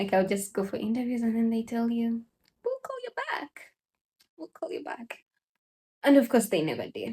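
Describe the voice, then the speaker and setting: Her tone dark and mellow, a woman talks in a somewhat breathy voice. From Uganda. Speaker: vlogger. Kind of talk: casual vlog talk.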